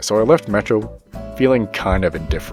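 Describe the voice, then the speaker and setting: A man with a fairly low voice talks while music plays underneath. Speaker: gaming YouTuber. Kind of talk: gameplay commentary voiceover.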